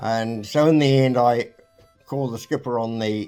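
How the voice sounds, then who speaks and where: A man's medium-pitched voice with fairly even intonation, music playing in the background. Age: 80s+. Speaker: retired marine engineer. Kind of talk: interview storytelling. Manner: halting.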